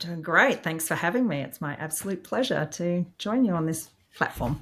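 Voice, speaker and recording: A woman with an Australian accent speaks at a moderate pace, her fairly low voice carrying lively intonation. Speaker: IT executive. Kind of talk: interview.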